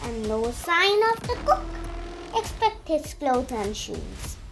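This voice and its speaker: Over clear background music, a woman puts on a high-pitched character voice and speaks at a fairly slow pace. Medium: read story.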